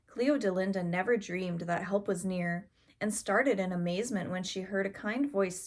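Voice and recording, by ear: This is someone reading aloud in a natural voice. The pitch moves in an ordinary way.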